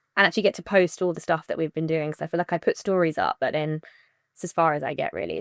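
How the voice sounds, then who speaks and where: A woman speaks very fast with a British accent. The sound is dry and close, with no echo. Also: very clean recording, silent background. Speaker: wedding planner and podcast co-host. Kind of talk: casual chat. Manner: animated.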